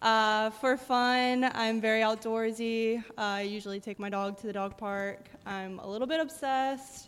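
A woman uses an ordinary speaking voice with a fairly high pitch and fairly even intonation. She goes at a fairly slow pace, with hardly any pauses. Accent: American. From Pennsylvania. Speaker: science teacher. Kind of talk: panel discussion at church service.

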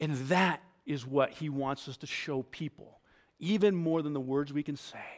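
A normal speaking voice with an American accent, fairly even intonation, big swings in loudness and a moderate pace, on a very clean recording with a silent background. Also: man, fairly high pitch for a man. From New York. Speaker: pastor. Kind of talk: sermon.

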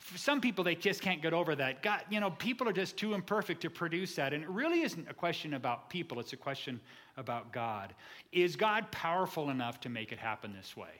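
Bright and sharp in tone, a man's high voice swings very widely in pitch at a fairly quick pace. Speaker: pastor. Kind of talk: sermon. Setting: church. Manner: fast; animated.

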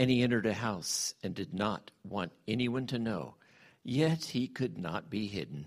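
Vocal fry at a fairly slow pace on a very clean recording with a silent background. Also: man. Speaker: church member leading prayer and scripture reading. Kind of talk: prayer and scripture reading. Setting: church.

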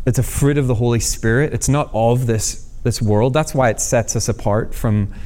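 Here the tone is dark and mellow. The intonation is lively, and the pace is moderate. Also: man. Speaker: guest preacher, former worship singer. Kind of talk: sermon. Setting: church service.

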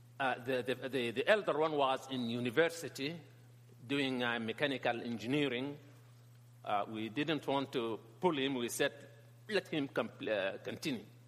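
Long, frequent pauses break up the speech of a man with a Sudanese accent, whose medium pitch shows ordinary variation. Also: moderate pace. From northern Sudan. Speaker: pastor and teacher on Islam. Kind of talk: talk or lecture to a church audience. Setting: church hall with audience. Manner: halting, repeats words.

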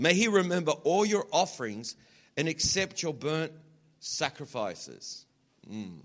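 A man with an American accent speaks at a fairly slow pace in an animated, warm tone, with very wide pitch swings and vocal fry. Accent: Australian, toned down for US audience. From Australia. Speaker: visiting preacher. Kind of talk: sermon. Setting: church with live congregation.

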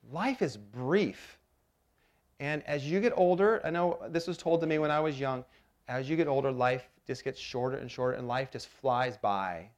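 This man has an unremarkable speaking voice, fairly high in pitch with lively intonation. He goes at a moderate pace against a quiet background. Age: 40s. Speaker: pastor. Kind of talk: sermon. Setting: church.

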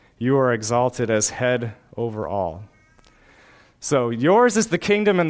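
An unremarkable speaking voice from a man, medium in pitch, at a moderate pace. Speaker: pastor. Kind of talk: sermon; closing congregational prayer. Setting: church. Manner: fervent, earnest prayer.

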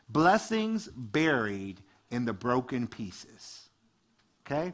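A man with an American accent speaks in an animated tone. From US Midwest, Detroit. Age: 40s. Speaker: youth ministry director and guest preacher. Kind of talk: lively, joking church sermon delivered to a live congregation. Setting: church service with congregation and livestream. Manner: animated, conversational and chatty, quick asides and laughs; call-and-response, prodding the congregation for amens.

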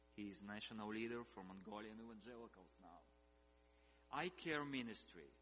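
A man speaks at a moderate pace with fairly low pitch, ordinary pitch variation, and a bright, sharp tone. His loudness swings widely, long pauses come often, and room echo is audible. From eastern Ukraine. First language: Russian or Ukrainian. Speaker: missionary leader and scholar. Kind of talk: sermon.

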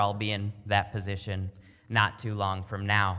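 Bright and sharp in tone, a man speaks in an animated way at a fairly low pitch. The recording is very clean, with a silent background. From Minnesota. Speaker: pastor. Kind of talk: sermon.

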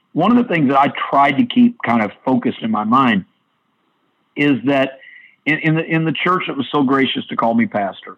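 Very wide pitch swings run through this moderately paced speech in an American accent. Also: man, long, frequent pauses. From US Midwest (southern Illinois). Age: 50s. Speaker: pastor and church official. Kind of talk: interview.

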